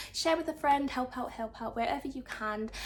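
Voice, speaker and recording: A woman's high-pitched voice with a warm tone and ordinary pitch variation. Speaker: tarot card reader. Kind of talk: pick-a-card tarot reading to camera. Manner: stutters and mumbles at times; warm, affectionate address to viewers.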